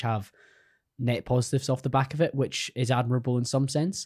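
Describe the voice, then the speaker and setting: A somewhat breathy man's voice at medium pitch, with fairly even intonation and a dry, close sound with no echo. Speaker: podcast host. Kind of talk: casual interview. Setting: studio.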